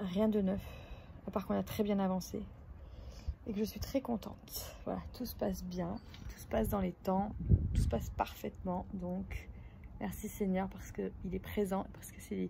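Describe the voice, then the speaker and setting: A woman speaks at a fairly slow pace with long, frequent pauses. Her loudness swings widely. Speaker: family vlogger. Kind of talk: casual vlog. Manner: hesitant, many fillers.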